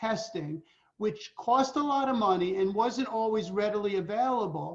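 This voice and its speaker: The speaker is a man with a high voice. He talks at a moderate pace. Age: 60s. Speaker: veterinary neurologist. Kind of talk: interview.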